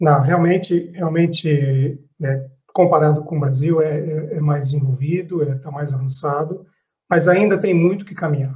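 A man with a fairly high pitch and a dark, mellow tone speaks at a fairly slow pace with fairly even intonation. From Brazil. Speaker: business executive. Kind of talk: panel discussion. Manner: halting.

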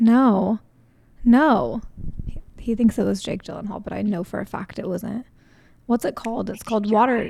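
With vocal fry and a dark, mellow tone, a woman speaks at a fairly high pitch, her loudness swinging widely and her speech broken by long, frequent pauses. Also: ordinary pitch variation, moderate pace. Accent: American. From Southern California. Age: 20s. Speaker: podcast host. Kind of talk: casual chat.

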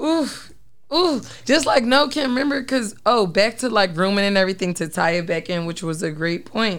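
At a moderate pace and medium pitch, a woman talks in an animated tone with very wide pitch swings. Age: 30s. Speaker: podcast host. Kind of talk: casual chat. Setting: studio.

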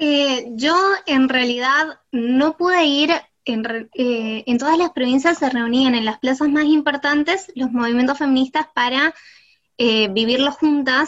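Her pitch high and varying in an ordinary way, a woman speaks at a fairly slow pace with very even loudness. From Argentina, San Juan. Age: 20s. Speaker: psychology student. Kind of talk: casual chat.

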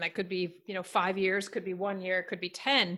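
A bright, sharp tone at a fairly quick pace on a very clean recording with a silent background. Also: woman. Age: 40s. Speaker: podcast host. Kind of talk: interview conversation.

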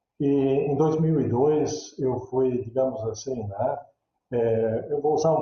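This man's medium pitch moves with ordinary variation as he talks. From Brazil, interior of Santa Catarina. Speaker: theology professor. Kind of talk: interview. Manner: halting, many fillers.

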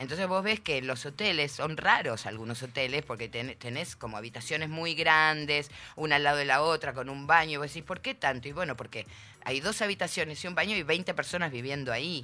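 Music in the background beneath speech with ordinary pitch variation. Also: woman, very deep, low pitch for a woman, fairly quick pace. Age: 50s. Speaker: interview guest. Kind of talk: casual chat.

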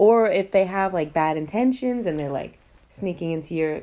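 Over a silent background in a very clean recording, a woman with an American accent talks at a moderate pace. Her dark, mellow tone carries very wide pitch swings. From New York / New Jersey area. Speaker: podcaster. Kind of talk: storytelling monologue. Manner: casual, halting with many fillers.

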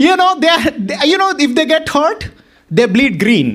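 An animated tone with an American accent. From Boston. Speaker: pastor. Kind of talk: sermon. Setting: church.

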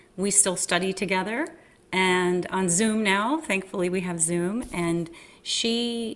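A woman's plain, everyday voice, medium in pitch, at a fairly slow pace with ordinary pitch variation. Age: 50s. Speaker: Broadway actress and acting professor. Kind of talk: interview.

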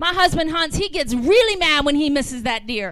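A woman speaks at an extremely high pitch with an American accent. Noticeable background noise is present. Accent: slight Southern US, comes out at times. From US South. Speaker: guest preacher. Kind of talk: sermon. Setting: church. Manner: animated.

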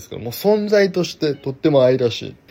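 Fairly quick and fairly high-pitched, a man speaks in a dark, mellow tone. His pitch swings very widely. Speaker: podcast host, graduate art student. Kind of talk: solo podcast monologue. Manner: casual with many fillers.

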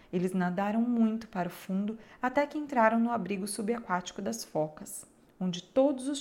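With a Brazilian accent, a woman speaks at a fairly high pitch with ordinary pitch variation. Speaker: audiobook narrator. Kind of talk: fairy-tale audiobook narration, storyteller reading a folk tale aloud. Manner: shifts to tender, pleading tones for the child's and mother's lines.

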